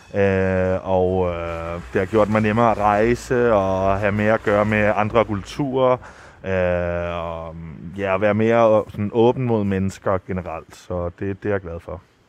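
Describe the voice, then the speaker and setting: Fairly low in pitch, a man speaks at a very slow pace with hardly any pauses. His intonation stays fairly even. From Rome, Italy. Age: 20s. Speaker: son of the guest. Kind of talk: interview. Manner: halting, many fillers.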